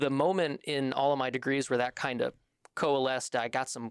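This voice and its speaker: The recording is very clean with a silent background. A man speaks with a slight Midwestern accent and fairly even intonation. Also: dry, close sound with no echo. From Michigan, US Midwest. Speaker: military band saxophonist. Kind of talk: podcast interview.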